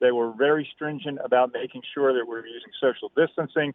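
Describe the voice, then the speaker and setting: Speaking at a fairly quick pace, a man holds a medium pitch with fairly even intonation. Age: 60s. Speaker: caller, poll worker. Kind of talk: phone-in call. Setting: phone call.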